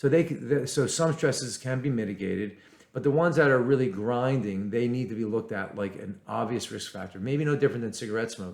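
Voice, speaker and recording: A man rattles along very fast, his medium pitch shifting in an ordinary way. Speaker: physician. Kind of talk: educational talk to camera. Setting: recording to camera.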